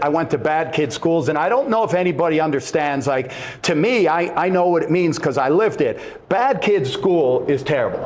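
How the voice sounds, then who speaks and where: Through noticeable background noise and audible room echo, a man speaks quickly at a fairly high pitch. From Montreal, Canada. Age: 60s. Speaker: former wrestler and author. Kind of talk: casual chat. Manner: halting, repeats words.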